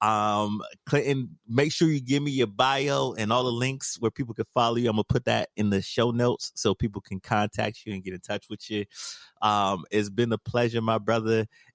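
A medium-pitched male voice, dry and close with no echo, against a quiet background. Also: ordinary pitch variation, moderate pace. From United States. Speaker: podcast host. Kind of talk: podcast interview.

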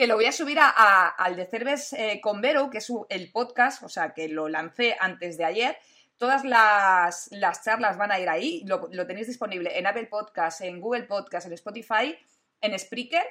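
Bright and sharp, a woman's voice sits fairly high and moves at a fairly slow pace. The recording is very clean, with a silent background. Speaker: tech youtuber and streamer. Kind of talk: casual live-stream interview. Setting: live stream. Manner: animated, loud at times.

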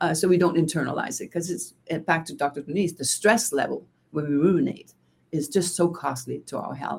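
Somewhat breathy and fairly low for a woman, her voice moves at a fairly quick pace with ordinary pitch variation and big swings in loudness. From Denmark. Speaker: gender diversity consultant and author. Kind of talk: interview.

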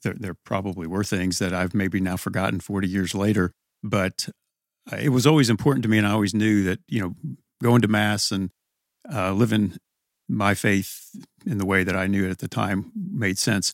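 A man with an American accent speaks at a moderate pace and fairly low pitch, with ordinary pitch variation, in an ordinary speaking voice recorded dry and close with no echo. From southern Indiana, Evansville. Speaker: permanent deacon and school president. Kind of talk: interview, conversational storytelling. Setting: studio attic room.

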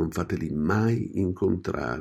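A man's very deep, low voice, dark and mellow in tone and somewhat breathy, with ordinary pitch variation, on a very clean recording with a silent background. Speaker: radio host.

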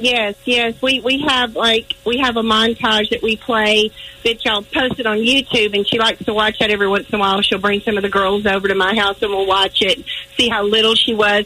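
Fairly quick delivery with fairly even intonation over noticeable background noise. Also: woman, fairly high pitch for a woman. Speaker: caller, aunt of a past trip child. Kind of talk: phone call update on family. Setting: phone call.

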